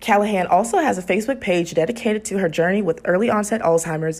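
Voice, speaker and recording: A woman talks at a very fast pace. Her pitch sits at a medium level with ordinary pitch variation. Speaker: TV news reporter. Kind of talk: TV news package narration. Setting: studio voiceover.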